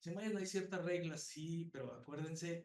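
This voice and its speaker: A man with a fairly high pitch rushes along at a very fast pace, using ordinary pitch variation. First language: Spanish. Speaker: psychology professor. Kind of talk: conference talk. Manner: halting.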